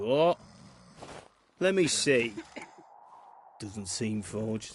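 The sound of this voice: Speaking at a very slow pace, a man puts on a character voice with a fairly low pitch, a slightly husky edge and lively intonation.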